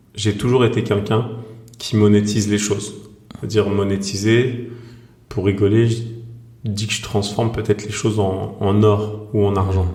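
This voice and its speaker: A man's monotone, flat delivery at a moderate pace, full of long, frequent pauses, with audible room echo. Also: fairly low pitch for a man. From France, Seine-Saint-Denis (Saint-Ouen, Saint-Denis). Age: 40s. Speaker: author and screenwriter. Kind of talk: podcast interview. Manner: hesitant, many fillers.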